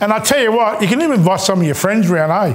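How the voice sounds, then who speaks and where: A man speaks in an Australian accent. His pitch is high, with ordinary pitch variation. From Australia, Maltese background. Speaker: chef. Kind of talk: cooking tutorial. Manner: casual, halting with fillers. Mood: warm, chatty, encouraging. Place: kitchen. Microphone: lapel.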